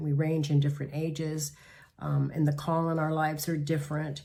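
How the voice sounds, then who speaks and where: In a very deep, low voice that is somewhat breathy, a woman speaks with a dark, mellow tone and monotone, flat intonation at a moderate pace, with audible room echo. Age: 70s. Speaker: pastor. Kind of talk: devotional talk.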